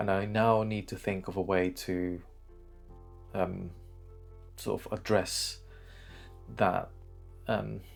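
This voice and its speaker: With music in the background, a man speaks very slowly in a monotone, flat way at a fairly low pitch, leaving long, frequent pauses. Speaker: YouTuber. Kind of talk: casual talk to camera. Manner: hesitant, many fillers.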